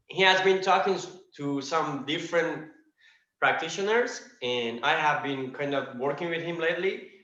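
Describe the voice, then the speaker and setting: There is audible room echo around a man speaking at a moderate pace. His pitch is fairly high and varies in an ordinary way. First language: not English. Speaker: practitioner student. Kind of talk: question in online class. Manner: halting.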